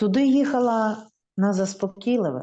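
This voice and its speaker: The speaker is a woman with a Ukrainian accent. Her tone is dark and mellow. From Lviv, Ukraine. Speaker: poet. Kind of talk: poetry reading in Ukrainian.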